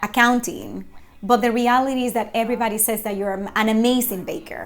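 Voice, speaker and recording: Over noticeable background noise, a woman talks at a fairly high pitch with a Spanish accent. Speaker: faith-based motivational vlogger. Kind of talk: inspirational talk to camera. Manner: halting, with frequent fillers.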